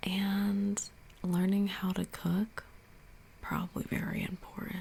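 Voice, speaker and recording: A soft-spoken woman talks at a very slow pace with a relaxed tone. Her medium pitch stays in a monotone, flat intonation. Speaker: ASMR creator. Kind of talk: casual ASMR answers to camera. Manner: soft-spoken, relaxed, conversational.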